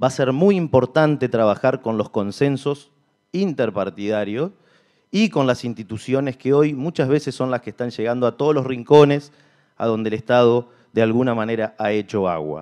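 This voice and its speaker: Over a quiet background, a man talks with lively intonation. His tone is dark and mellow, at a moderate pace. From Argentina, Concordia; Argentina. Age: 30s. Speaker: mayoral candidate, entrepreneur; candidate. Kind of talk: political debate speech. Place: hall. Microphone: podium.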